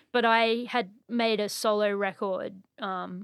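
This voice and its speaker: A woman with an Australian accent speaks at a medium pitch with fairly even intonation, the sound dry and close with no echo on a very clean recording with a silent background. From Australia (Brisbane). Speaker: composer and musician. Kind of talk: casual chat. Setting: studio.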